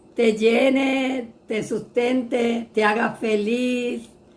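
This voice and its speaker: A woman with a fairly high pitch speaks very slowly. Her intonation is flat and monotone, and room echo is audible. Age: 70s. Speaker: churchgoer sharing her testimony. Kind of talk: testimony in an interview. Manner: halting.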